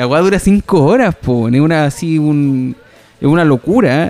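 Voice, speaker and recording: With a Chilean accent, a man speaks at a fairly high pitch for a man over noticeable background noise. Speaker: podcast host. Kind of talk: casual chat. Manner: halting, many repetitions.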